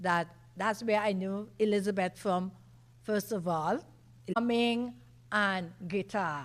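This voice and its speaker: A woman speaks very slowly with long, frequent pauses. Her medium pitch shows ordinary variation. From Caribbean island. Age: 60s. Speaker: foundation director. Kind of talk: conference presentation.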